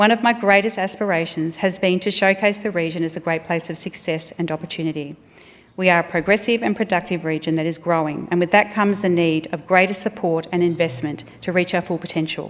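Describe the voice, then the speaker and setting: Speaking very fast in an Australian accent, a woman keeps a fairly low pitch and fairly even intonation. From Australia, regional Victoria. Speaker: politician. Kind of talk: speech. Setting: parliament chamber. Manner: formal.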